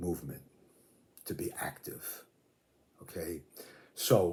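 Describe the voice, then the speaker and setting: The man's tone is dark and mellow. There is a somewhat breathy quality to his voice. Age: 70s. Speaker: fitness video creator, veteran weight trainer. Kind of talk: casual talk to camera. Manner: relaxed, with many fillers.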